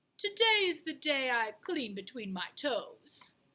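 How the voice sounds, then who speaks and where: A put-on character voice, high in pitch, moves at a fairly slow pace with very wide pitch swings. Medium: read story. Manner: prim, fussy.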